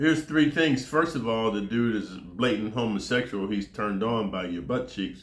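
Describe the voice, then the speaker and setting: An ordinary speaking voice from a man with an American accent, medium pitch, lively intonation, moderate pace and hardly any pauses. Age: 60s. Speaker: former prisoner storyteller. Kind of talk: casual monologue. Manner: casual, slangy.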